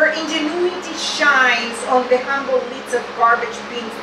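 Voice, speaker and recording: A woman speaks at a fairly slow pace. The room echo is audible, and background noise is noticeable. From Venezuela. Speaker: poet. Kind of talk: poetry reading. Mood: solemn, serious. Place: shop.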